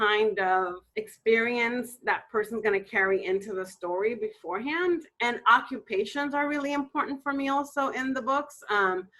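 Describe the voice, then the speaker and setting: A woman speaks with lively intonation at a moderate pace. Her tone is bright and sharp. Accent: Spanish. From Dominican Republic. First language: Spanish. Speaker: romance novelist. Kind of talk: interview.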